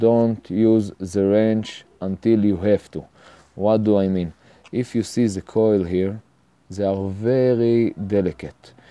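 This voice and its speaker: Speaking at a very slow pace, a man has an Israeli accent. His tone is dark and mellow, and his intonation fairly even. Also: fairly low pitch for a man. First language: Hebrew. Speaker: home mechanic tutorial maker. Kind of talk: tutorial. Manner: halting, many fillers.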